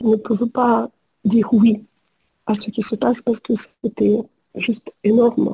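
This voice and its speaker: A woman speaks in a dark, mellow tone with vocal fry and flat, monotone intonation. Her long, frequent pauses come through in a dry, close sound with no echo. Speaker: psychologist. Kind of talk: testimony. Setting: video call. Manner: halting.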